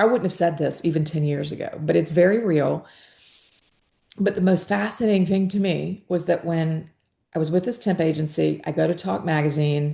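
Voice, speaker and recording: In a Southern US accent, a woman with a fairly low pitch and a dark, mellow tone speaks at a moderate pace with ordinary pitch variation. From US South, Georgia. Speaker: podcast host. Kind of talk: interview conversation.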